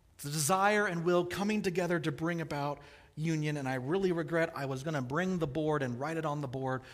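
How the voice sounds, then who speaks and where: Here a man with an American accent speaks fairly quickly. His pitch is fairly high with ordinary variation, and the room echo is audible. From US Midwest, Kansas City. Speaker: pastor. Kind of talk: sermon.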